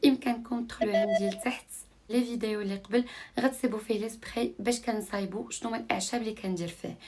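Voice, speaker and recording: A woman speaks at a fairly quick pace, somewhat breathy, with fairly even intonation. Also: fairly high pitch for a woman. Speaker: lifestyle vlogger. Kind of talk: vlog narration. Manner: casual, code-switching with French.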